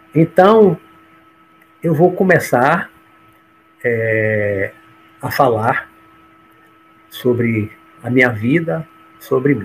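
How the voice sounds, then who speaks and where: A man speaks very slowly, leaving long, frequent pauses, while noticeable background noise carries on. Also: medium pitch for a man. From Bahia, Brazil. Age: 60s. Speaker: judge and spiritualist speaker. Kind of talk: autobiographical talk on a livestream.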